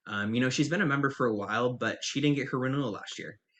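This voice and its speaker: A man speaks at a very fast pace. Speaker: nonprofit fundraising consultant. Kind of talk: webinar presentation. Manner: hesitant, many fillers.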